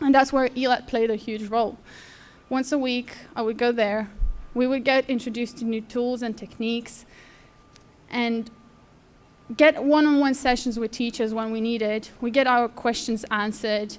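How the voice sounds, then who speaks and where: The speech comes in a Lithuanian accent at a moderate pace. Its intonation is monotone and flat, with long, frequent pauses. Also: woman, high pitch for a woman. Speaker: apprentice designer. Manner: halting.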